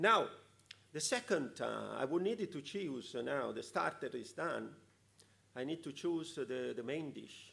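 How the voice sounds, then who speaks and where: The speaker has an Italian accent and goes at a fairly slow pace. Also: man. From Italy. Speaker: conference speaker, EU policy official. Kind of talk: conference talk. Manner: halting, many fillers.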